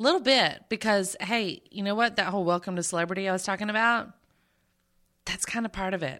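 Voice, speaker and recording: Animated and bright, with a sharp tone, a woman speaks fairly quickly at a medium pitch with ordinary pitch variation. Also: very clean recording, silent background. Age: 30s. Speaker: podcast host. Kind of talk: casual chat. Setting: studio.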